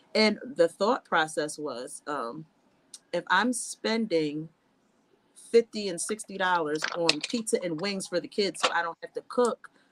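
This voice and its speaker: A woman with a plain, everyday voice speaks at a medium pitch and a fairly slow pace. Her intonation is lively, her loudness swings widely, and the sound is dry and close with no echo. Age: 30s. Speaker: nursing student and nurse. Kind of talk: casual chat.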